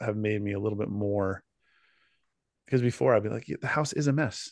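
Against a quiet background, a man with a fairly low pitch and ordinary pitch variation speaks at a moderate pace, the sound dry and close with no echo. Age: middle-aged. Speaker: podcast co-host. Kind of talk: casual chat.

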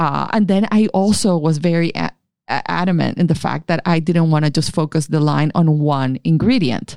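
This woman's voice sits very deep and low, with a dark, mellow tone. Her pitch varies in an ordinary way, her pace is moderate, and her loudness stays very even. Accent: Spanish. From Colombia, Caribbean coast (Barranquilla). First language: Spanish. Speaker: skincare company founder. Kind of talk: interview.

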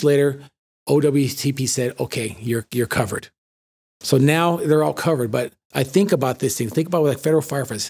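A man with an American accent talks at a fairly quick pace, his fairly high pitch showing ordinary variation. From Los Angeles, San Fernando Valley. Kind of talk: interview. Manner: halting.

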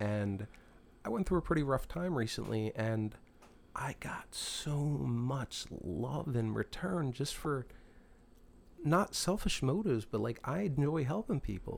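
This voice has an American accent. Its pitch swings very widely. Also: man, medium pitch for a man. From Philadelphia area, US. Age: 40s. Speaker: musician. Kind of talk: casual chat.

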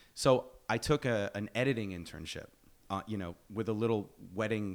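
On a very clean recording with a silent background, a man speaks at a moderate pace in a plain, everyday voice with a fairly low pitch. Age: 40s. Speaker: filmmaker and actor. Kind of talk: casual chat. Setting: studio.

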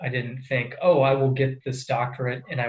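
A man speaks in a Midwestern American accent at a medium pitch. His voice is somewhat breathy and his pace is moderate. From US Midwest, central Iowa. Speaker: water resources engineer. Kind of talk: interview.

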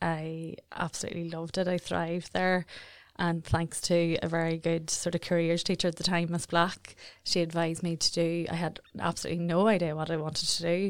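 A woman's fairly low voice in a Northern Irish accent, flat and monotone, at a moderate pace, on a very clean recording with a silent background. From Northern Ireland, South Armagh. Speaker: marketing agency director. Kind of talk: interview conversation. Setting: studio.

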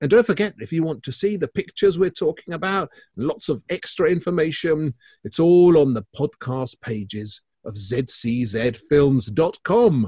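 Speaking in a Scottish accent, a man with a fairly high pitch and a dark, mellow tone moves at a moderate pace with very wide pitch swings, the sound dry and close with no echo. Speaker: art critic and podcast co-host. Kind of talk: casual chat.

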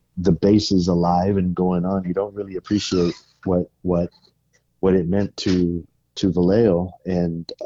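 A man's low-pitched voice with a dark, mellow tone and an American accent, at a moderate pace, in a dry, close sound with no echo.

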